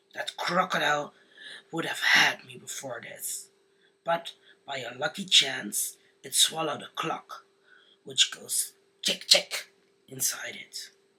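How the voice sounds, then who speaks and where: Putting on a fairly high-pitched character voice, a man speaks at a fairly slow pace with long, frequent pauses. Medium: read story.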